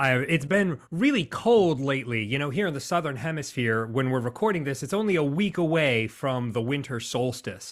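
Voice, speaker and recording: At a moderate pace with hardly any pauses, a man with an American accent speaks in a fairly high voice with lively intonation. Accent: American, sometimes taken for Canadian. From United States. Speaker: business coach and speaker. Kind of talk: podcast interview. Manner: animated.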